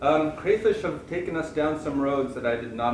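Audible room echo and noticeable background noise surround a man talking fairly quickly. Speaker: PhD advisor professor. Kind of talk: introduction speech. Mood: warm, humorous. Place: classroom. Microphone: camera far.

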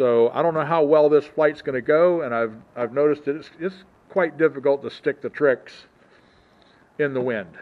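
His pitch moves an ordinary amount as the man talks. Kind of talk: casual vlog chat. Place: open country. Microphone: phone near.

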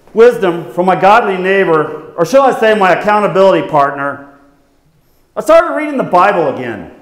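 A man at a fairly quick pace with very wide pitch swings, over a quiet background with audible room echo. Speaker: skit performer as TV show host. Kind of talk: staged skit confession. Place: church. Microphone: lapel.

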